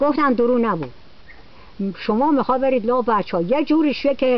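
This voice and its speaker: Speech at a moderate pace over noticeable background noise. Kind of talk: casual storytelling.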